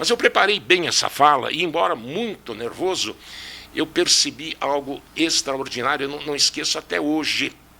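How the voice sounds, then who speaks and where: A man speaks at a moderate pace in a normal speaking voice, fairly high in pitch, with lively intonation. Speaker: physics teacher and engineer.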